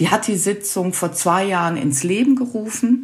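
A woman speaks at a fairly slow pace with lively intonation. Noticeable background noise can be heard. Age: 60s. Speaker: nursing council chair and nursing lecturer. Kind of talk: interview.

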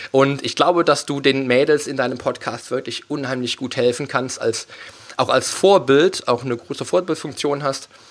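Moderate tempo and medium pitch from a male speaker, with ordinary pitch movement. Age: 30s. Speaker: fitness coach and podcast host. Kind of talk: casual interview chat. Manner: halting, many fillers.

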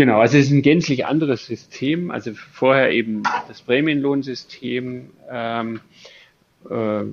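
The man's intonation stays fairly even. His pace is very slow. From Allgäu, southern Germany. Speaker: company owner. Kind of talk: interview. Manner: halting, many fillers.

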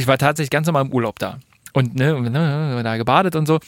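With a fairly quick pace, this man's speech shows ordinary pitch variation. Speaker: podcast co-host. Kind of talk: casual chat.

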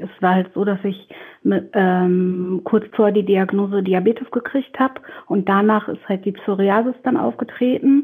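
Speaking at a moderate pace, a woman uses a medium pitch with ordinary pitch variation and a somewhat breathy sound. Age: 20s. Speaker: pediatric nurse. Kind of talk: casual interview.

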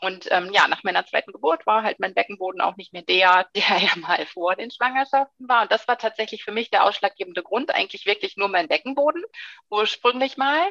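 In a dry, close recording with no echo, a woman talks at a fairly quick pace with a fairly high pitch, lively intonation and a bright, sharp tone. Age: 30s. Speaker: sports scientist and fitness instructor. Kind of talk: interview. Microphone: occasional dropouts from wifi problems.

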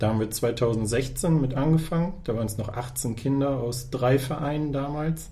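With hardly any pauses, a man speaks at a moderate pace in a dark, mellow, somewhat breathy tone with ordinary pitch variation, and audible room echo around him. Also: medium pitch for a man. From northern Germany, Osnabrück district. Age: 30s. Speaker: press officer and volunteer basketball organizer. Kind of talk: podcast interview.

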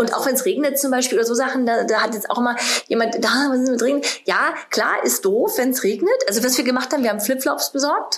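Very fast and at very even loudness, a woman with a high pitch talks amid audible room echo and noticeable background noise. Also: ordinary pitch variation. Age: 40s. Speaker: bride. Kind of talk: casual chat.

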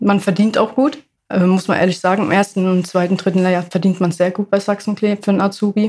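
Somewhat breathy speech with a dark, mellow tone, fairly even intonation and a fairly quick pace. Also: woman. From Ludwigshafen, Germany. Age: 20s. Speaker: apprentice sewer construction worker. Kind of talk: casual interview.

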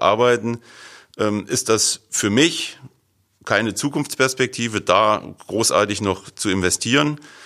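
On a very clean recording with a silent background, a man at a fairly low pitch talks at a fairly slow pace in an unremarkable speaking voice with ordinary pitch variation. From northern Hesse, Germany. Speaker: farmer. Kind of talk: casual interview.

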